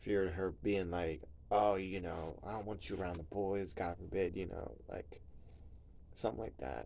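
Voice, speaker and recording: Soft-spoken, with a very deep, low pitch, a dark, mellow tone and vocal fry, a man speaks with an American accent amid audible room echo. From New Jersey, US. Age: 30s. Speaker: vlogger. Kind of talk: personal vlog confession. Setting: at home at night, kids asleep nearby. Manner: soft-spoken, talking low; casual, filler-heavy.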